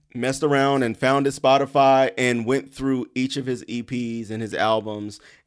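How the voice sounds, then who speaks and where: A man with an American accent speaks at a moderate pace and medium pitch, with hardly any pauses, fairly even intonation and a plain, everyday voice, on a very clean recording with a silent background. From Columbia, South Carolina. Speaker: blogger and co-host. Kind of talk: casual chat.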